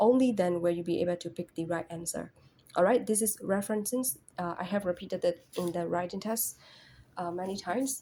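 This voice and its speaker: A woman with a non-native accent, her medium-pitched voice dark and mellow, with ordinary pitch variation at a fairly quick pace. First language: not English. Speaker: English test tutor. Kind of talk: tutorial. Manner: casual, repetitive with fillers.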